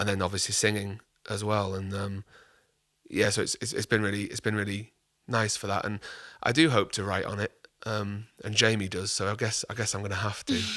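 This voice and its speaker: A man with a Yorkshire accent speaks at a fairly quick pace in a fairly low, bright, sharp voice. His intonation is monotone and flat, on a very clean recording with a silent background. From Yorkshire, northern England. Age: 30s. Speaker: singer-songwriter. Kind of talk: casual chat.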